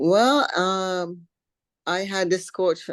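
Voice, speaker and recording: Someone with a slight Caribbean accent talks at a very slow pace with ordinary pitch variation against a quiet background. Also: woman. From Barbados. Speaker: professional bodybuilder. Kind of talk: interview. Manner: halting, many fillers.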